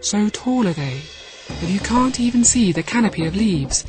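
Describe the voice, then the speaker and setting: Music plays in the background while a woman speaks at a medium pitch. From United Kingdom. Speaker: storyteller. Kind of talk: children's audiobook story narration. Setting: studio.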